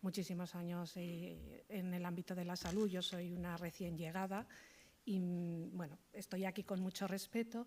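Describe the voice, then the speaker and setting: A soft-spoken woman talks at a medium pitch and a moderate pace. Her intonation is monotone and flat. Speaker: hospital social work manager. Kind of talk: conference talk. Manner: halting.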